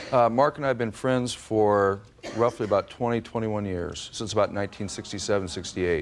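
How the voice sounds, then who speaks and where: Noticeable background noise sits behind the speech. The pace is fairly quick. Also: man, fairly low pitch for a man, ordinary pitch variation. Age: 40s. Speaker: plaintiff, contractor. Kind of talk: courtroom testimony. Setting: courtroom. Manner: halting, many fillers.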